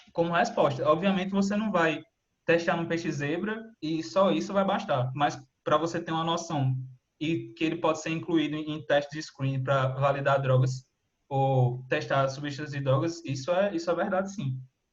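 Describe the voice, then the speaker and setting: His voice sits fairly high for a man. The pitch varies in an ordinary way. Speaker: student researcher presenting seminar. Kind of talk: online seminar presentation. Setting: video call. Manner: fast.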